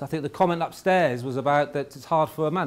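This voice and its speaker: Moving at a very fast pace, a man speaks in a fairly high voice with ordinary pitch variation. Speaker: conference speaker, former law enforcement. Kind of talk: conference presentation. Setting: conference room with audience. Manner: hesitant, with fillers.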